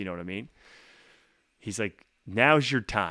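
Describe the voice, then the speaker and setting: Recorded very clean with a silent background and a dry, close sound with no echo, a man with an Atlantic Canadian accent speaks at a moderate pace in a bright, sharp tone. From Atlantic Canada. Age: 40s. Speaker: singer-songwriter. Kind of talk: casual interview.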